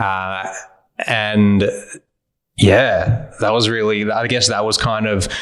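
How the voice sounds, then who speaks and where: In an Australian accent, a man speaks very slowly with a fairly low pitch and monotone, flat intonation, leaving long, frequent pauses, with audible room echo. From Australia, Geelong (Victoria). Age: 30s. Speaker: ice bath community leader. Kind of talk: podcast interview.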